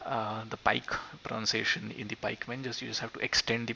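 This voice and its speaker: Against noticeable background noise, a man whispers with a Marathi accent. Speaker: gaming YouTuber. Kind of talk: tutorial. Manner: halting.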